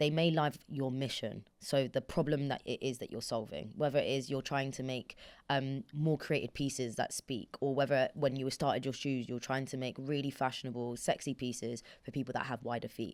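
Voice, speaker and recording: A woman speaks with a British accent, her pitch very deep and low, with hardly any pauses. The recording is very clean, with a silent background. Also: moderate pace. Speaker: podcast host. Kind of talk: casual chat. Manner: animated.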